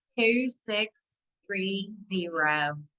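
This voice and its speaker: A woman with a Southern US accent has a bright, sharp tone and ordinary pitch variation. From US South. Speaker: nurse practitioner. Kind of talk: webinar Q&A. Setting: online webinar.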